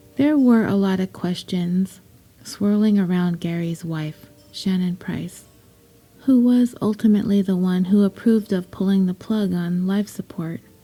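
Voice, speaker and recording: Over music in the background, a woman speaks at a fairly slow pace with a medium pitch and ordinary pitch variation. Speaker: podcast host. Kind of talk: true story podcast narration.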